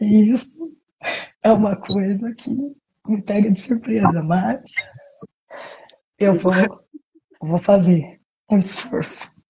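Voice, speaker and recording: A woman at medium pitch speaks at a very slow pace, leaving long, frequent pauses, with ordinary pitch variation. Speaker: preacher. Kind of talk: live stream sermon. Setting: live stream from home apartment. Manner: soft-spoken.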